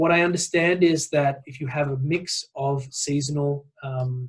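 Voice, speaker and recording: A somewhat breathy man with an Australian accent and medium pitch, at a fairly slow pace. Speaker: nonprofit executive director. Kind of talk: webinar presentation. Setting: online call. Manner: hesitant, many fillers.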